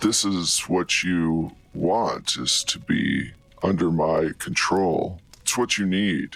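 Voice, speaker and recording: A put-on character voice, guttural and at a very slow pace, over music in the background. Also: man, very deep, low pitch for a man. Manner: menacing, controlling.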